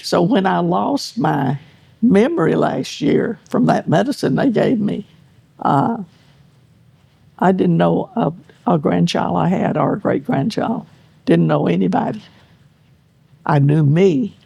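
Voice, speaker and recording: A woman talks at a fairly slow pace with very even loudness. She leaves long, frequent pauses. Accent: Texan. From East Texas. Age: 90s. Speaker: hunter. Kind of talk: interview answer.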